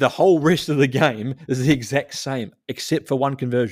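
This man speaks with a New Zealand accent. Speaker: rugby podcast co-host. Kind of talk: casual chat.

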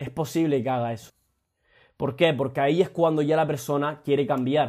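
In a very clean recording with a silent background, a man speaks with a fairly high pitch, fairly even intonation and a dark, mellow tone. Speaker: motivational podcaster. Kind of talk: motivational monologue. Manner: casual, frequent swearing.

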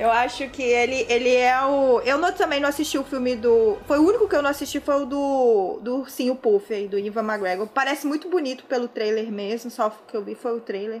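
There is noticeable background noise behind a woman speaking with a high pitch. She talks at a fairly quick pace with hardly any pauses and ordinary pitch variation. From Brazil, Tocantins. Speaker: journalist. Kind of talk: casual chat.

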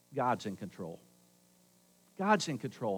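A man at a moderate pace. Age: 60s. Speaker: pastor. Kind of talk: Sunday sermon, folksy storytelling woven with pleading gospel exhortation. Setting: church service with live congregation. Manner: conversational and earnest, punctuated with rhetorical call-and-response asking for amens; emphatic repetition, insistent and rising as he drives points home.

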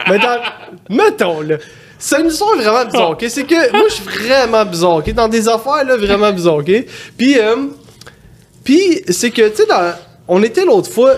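Amid noticeable background noise, a man with a Quebec accent speaks fairly slowly at an extremely high pitch, with very wide pitch swings and long, frequent pauses. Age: 30s. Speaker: prank-call content creator. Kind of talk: casual chat.

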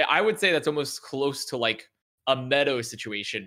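A man with an American accent and a medium pitch speaks at a moderate pace in a bright, sharp tone. The recording is very clean, with a silent background. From US South, Dallas area, Texas. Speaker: esports podcast co-host. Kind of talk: casual chat. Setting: studio.

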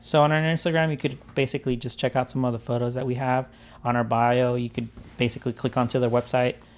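Here is a man with an unremarkable speaking voice, a medium pitch and fairly even intonation. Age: 30s. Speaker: podcast host and videographer. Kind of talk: casual chat.

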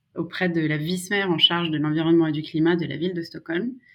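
At a moderate pace, a woman with a fairly low pitch speaks in a flat, monotone intonation. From France, Savoie (Maurienne valley). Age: 30s. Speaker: political adviser. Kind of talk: casual interview.

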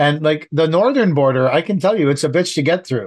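A man with a Canadian accent, lively intonation and a fairly quick pace. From Canada. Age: 50s. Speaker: landscaping contractor podcast host. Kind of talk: casual chat.

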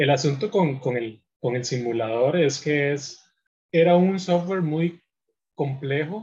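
Somewhat breathy, a man speaks at a very slow pace in a fairly high voice. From Costa Rica, Puntarenas. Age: 20s. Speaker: computer engineer. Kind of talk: interview. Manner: halting.

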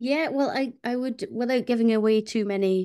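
A woman with a Shetland accent speaks at a moderate pace with ordinary pitch variation. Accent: Shetland Scottish. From Fair Isle, Shetland. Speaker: musician and composer. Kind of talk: casual interview. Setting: video call.

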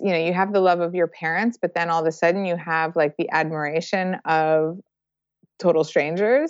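This woman uses a normal speaking voice, fairly low in pitch, with fairly even intonation and a moderate pace. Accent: American. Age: 40s. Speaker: circus director and choreographer. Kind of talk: interview.

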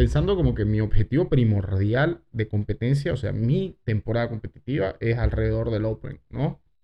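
At a moderate pace, a man talks at medium pitch in a plain, everyday voice. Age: 30s. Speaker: podcast host. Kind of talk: casual chat.

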